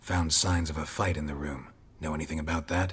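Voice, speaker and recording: A man's growling, put-on character voice, very deep and low in pitch, at a fairly quick pace. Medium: video game. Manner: terse, deadpan.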